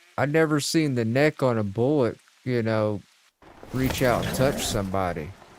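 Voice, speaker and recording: A man with a Southern US accent, medium pitch and lively intonation at a moderate pace. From US South. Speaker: gaming streamer. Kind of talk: casual chat. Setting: live stream.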